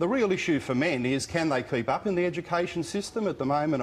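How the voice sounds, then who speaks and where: Over light background noise, a man talks fairly quickly with lively intonation. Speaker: TV guest. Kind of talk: heated debate commentary. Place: studio. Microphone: lapel.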